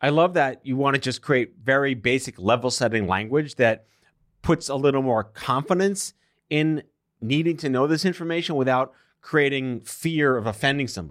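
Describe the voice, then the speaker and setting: A man with a fairly high voice and an unremarkable speaking voice. His pitch varies in an ordinary way, and the recording is very clean with a silent background. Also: moderate pace. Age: 40s. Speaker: podcast host, cancer survivor. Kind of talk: interview. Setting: studio.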